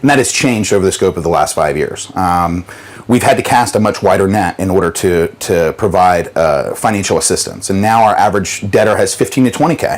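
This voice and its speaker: Over noticeable background noise, a man with a fairly low pitch talks at a fairly quick pace with hardly any pauses, ordinary pitch variation and very even loudness. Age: 30s. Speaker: debt mediation business owner. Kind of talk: interview testimony. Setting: on a yacht.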